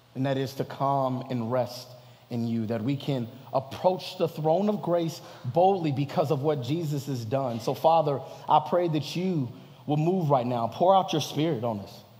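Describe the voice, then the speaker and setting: Through noticeable background noise, a man with a fairly high pitch talks at a moderate pace with ordinary pitch variation. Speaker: pastor. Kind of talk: sermon. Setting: church. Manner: animated.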